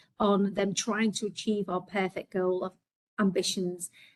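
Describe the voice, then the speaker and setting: A woman speaks with a Liverpool accent. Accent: Scouse. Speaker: healthcare executive. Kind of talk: webinar presentation.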